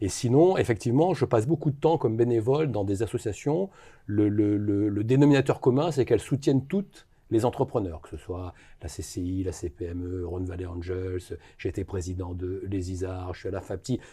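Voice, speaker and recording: Against a quiet background, a man's somewhat breathy, dark and mellow voice sits at a fairly low pitch, moving at a moderate pace with lively intonation and big swings in loudness. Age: 60s. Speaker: business investor. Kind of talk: interview. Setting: studio.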